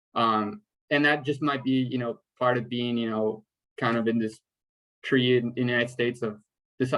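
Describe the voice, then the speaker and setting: A man's voice with a Spanish accent and fairly even intonation. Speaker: first-generation college graduate panelist. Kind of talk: panel discussion on video call.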